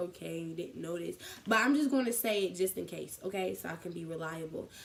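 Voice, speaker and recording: Speaking fairly quickly with lively intonation, a woman at medium pitch has an American accent. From Columbus, Ohio. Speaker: college student vlogger. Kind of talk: casual vlog. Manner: fast.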